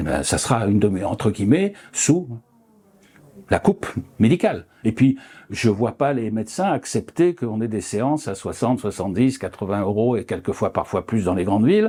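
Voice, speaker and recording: With a dark, mellow tone and medium pitch, this man talks at a moderate pace with lively intonation. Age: 70s. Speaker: retired osteopath. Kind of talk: interview. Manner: halting, many fillers.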